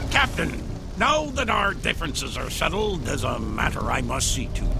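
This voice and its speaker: A put-on character voice comes at a moderate pace over loud background noise. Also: man. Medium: machinima. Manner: wheedling.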